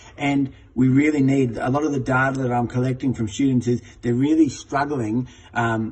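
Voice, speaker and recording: A man with a medium pitch talks in a somewhat breathy way, keeping his intonation fairly even. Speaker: teacher trainer. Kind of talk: tutorial. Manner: fast.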